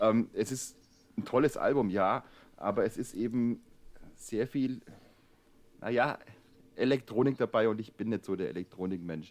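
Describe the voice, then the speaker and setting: Pausing long and often, a man talks at a moderate pace in a medium pitch with ordinary pitch variation. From Swabia. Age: 30s. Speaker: newspaper editor, co-host. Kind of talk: casual chat.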